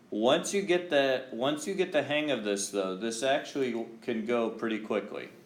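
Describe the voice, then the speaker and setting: A man's medium-pitched voice with lively intonation and audible room echo. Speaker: high school math teacher. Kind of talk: classroom lecture. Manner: slow, deliberate.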